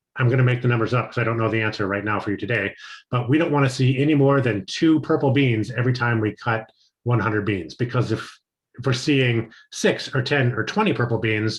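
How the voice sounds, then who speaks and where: A man speaks at a fairly quick pace in a medium pitch. His voice is somewhat breathy, with ordinary pitch variation. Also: quiet background. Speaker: chocolate maker trainer. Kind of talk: training lecture. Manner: fast.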